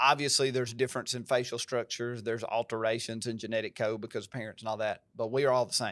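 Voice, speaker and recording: A man with an American accent speaks very fast in a monotone, flat intonation, captured in a very clean recording with a silent background. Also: medium pitch for a man, hardly any pauses. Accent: country twang. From US South, Covington (Tennessee). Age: 40s. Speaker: pastor. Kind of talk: podcast conversation. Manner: emphatic.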